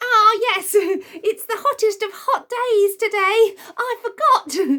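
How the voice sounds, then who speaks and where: The speaker is a woman doing a put-on character voice. Her pitch is extremely high, and her pace is fairly slow. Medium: read story. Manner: excitable.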